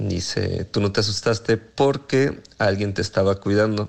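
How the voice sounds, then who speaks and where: With an unremarkable speaking voice, a man talks at a fairly slow pace and a fairly low pitch. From Mexico, Morelia. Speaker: listener sending voice message. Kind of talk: testimony.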